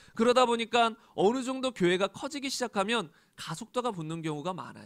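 A man talks in a high pitch. His intonation is lively. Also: quiet background. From South Korea. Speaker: pastor. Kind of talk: sermon. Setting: church. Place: church. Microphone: handheld.

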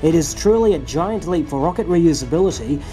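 With music in the background, the speaker has an enthusiastic tone. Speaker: YouTube space commentator. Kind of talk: video commentary narration.

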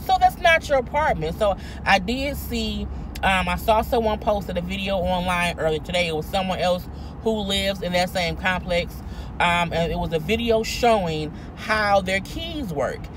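Noticeable background noise sits behind a woman speaking at a moderate pace. The sound is dry with no echo. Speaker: vlogger. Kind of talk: casual vlog commentary on a news story. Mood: indignant, incredulous. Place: car. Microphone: phone near.

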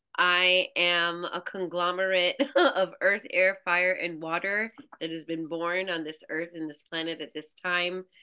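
A woman with an American accent, a fairly low pitch, a bright, sharp tone, fairly even intonation and a fairly slow pace, in a quiet background. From Brooklyn, New York. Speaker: farmer and somatic practitioner. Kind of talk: casual interview conversation. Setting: video call. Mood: reflective, heartfelt. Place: home room. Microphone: video call.

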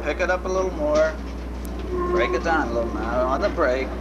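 Over loud background noise, the speech moves at a moderate pace. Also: man. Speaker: streetcar driving instructor. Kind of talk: instruction. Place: train. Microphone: old recording.

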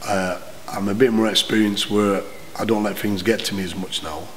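In a Lancashire accent, a man speaks at a fairly low pitch with flat, monotone intonation. There is light background noise. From northern England. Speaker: boxing trainer and former pro boxer; boxing trainer. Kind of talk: interview. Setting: boxing gym. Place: gym.

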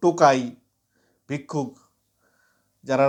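A man speaks in a plain, everyday voice that sits fairly high, with ordinary pitch variation. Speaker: political commentary vlogger. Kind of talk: monologue to camera.

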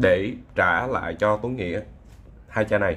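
A man with a fairly low pitch talks at a very slow pace, with vocal fry. His pitch varies in an ordinary way. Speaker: perfume reviewer and bar singer. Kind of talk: product review. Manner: casual, halting with fillers.

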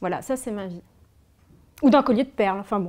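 Over a quiet background, a woman is speaking. Her intonation is lively. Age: 30s. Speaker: former fashion designer and author; interviewee. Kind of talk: personal testimony interview. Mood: reflective, candid, emotional. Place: home room.

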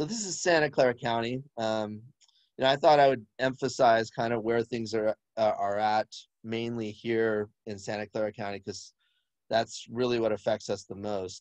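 With an unremarkable speaking voice, a man talks at a moderate pace and medium pitch, his intonation fairly even, the sound dry with no echo and the background quiet. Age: 50s. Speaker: physician; presenter. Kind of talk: webinar presentation. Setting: video call. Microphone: video call.

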